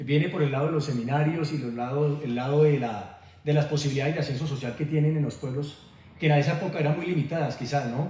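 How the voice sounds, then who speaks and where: The speaker talks at a very fast pace with fairly even intonation. Noticeable background noise runs underneath. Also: man, fairly high pitch for a man. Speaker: interviewer, program host. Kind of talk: interview questions.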